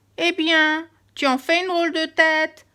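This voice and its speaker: Using a put-on character voice, a woman speaks at an extremely high pitch with monotone, flat intonation on a very clean recording with a silent background. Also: moderate pace. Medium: read story.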